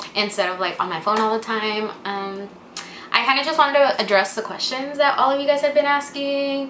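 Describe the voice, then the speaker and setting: The recording has audible room echo. A woman speaks at a fairly quick pace. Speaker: vlogger and English teacher. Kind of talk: casual vlog Q&A.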